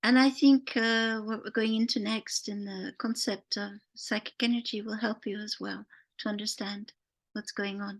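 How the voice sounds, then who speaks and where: A woman talks at a fairly high pitch and a fairly slow pace in a monotone, flat intonation, with a dry, close sound and no echo. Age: 70s. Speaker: workshop leader, Jungian teacher. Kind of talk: online workshop discussion.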